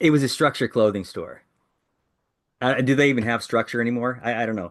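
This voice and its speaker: An American accent at a very fast pace over a quiet background. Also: man, medium pitch for a man, fairly even intonation. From Iowa, US Midwest. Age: 60s. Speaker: author. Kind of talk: interview.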